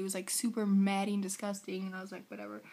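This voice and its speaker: A woman's somewhat breathy, very fast speech with a dark, mellow tone. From United States. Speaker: vlogger. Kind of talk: casual vlog. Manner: animated.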